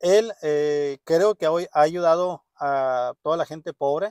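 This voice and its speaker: A man with a fairly high pitch and ordinary pitch variation is heard against a quiet background, the sound dry with no echo. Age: 30s. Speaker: vlogger. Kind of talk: casual vlog monologue. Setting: parked car. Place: car. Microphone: phone near.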